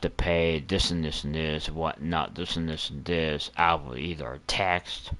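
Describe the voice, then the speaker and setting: A man speaks in a very deep, low voice with monotone, flat intonation. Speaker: gaming streamer. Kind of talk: casual chat while gaming livestream. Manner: getting loud; halting, many fillers.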